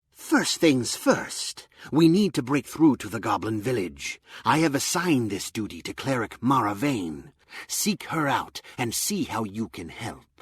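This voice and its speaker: A man uses a put-on character voice. It sits at a medium pitch and moves at a moderate pace. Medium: video game. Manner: grave, measured.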